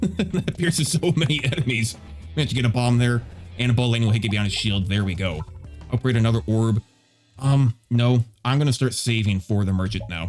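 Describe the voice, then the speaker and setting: Over music in the background, a man at a medium pitch talks at a fairly quick pace with lively intonation. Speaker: gaming YouTuber. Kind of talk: gameplay commentary.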